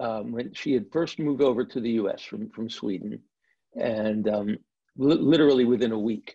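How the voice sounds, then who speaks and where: A man talks at a moderate pace in a dark, mellow tone. The background is quiet. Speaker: guest. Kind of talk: interview answer. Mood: relaxed, warm storytelling. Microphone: video call.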